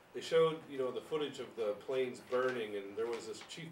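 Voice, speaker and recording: A man speaks in a plain, everyday voice at medium pitch, moving at a fairly quick pace with ordinary pitch variation. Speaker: local history interviewer. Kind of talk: oral history interview. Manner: casual, friendly.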